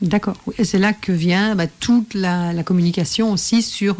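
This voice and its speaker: Here a woman speaks in a plain, everyday voice at medium pitch, with ordinary pitch variation and a moderate pace. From Belgium. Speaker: professional coach and radio host. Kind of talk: radio interview host.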